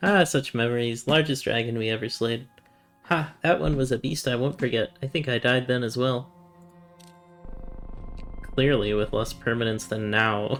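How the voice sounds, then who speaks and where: A man does a put-on character voice, nasal and raised to project, at a medium pitch and moderate pace. He leaves long, frequent pauses while faint music plays in the background. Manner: nasal, exaggerated cartoon-like voice.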